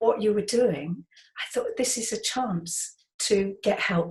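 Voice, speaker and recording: Somewhat breathy, a woman speaks at a fairly slow pace. Her pitch variation is ordinary. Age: 70s. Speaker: artist and educator. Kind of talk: interview.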